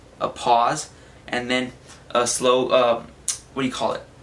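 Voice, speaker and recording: A man talks with a fairly high pitch. Noticeable background noise runs under his voice. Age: young. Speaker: fitness vlogger. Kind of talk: casual tutorial. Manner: fast; casual.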